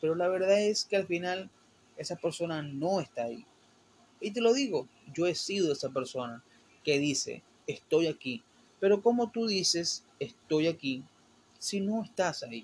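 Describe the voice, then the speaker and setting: A fairly slow pace with long, frequent pauses and lively intonation. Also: man, high pitch for a man. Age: 20s. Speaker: solo podcaster. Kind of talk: casual solo monologue. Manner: hesitant, with fillers and stumbles.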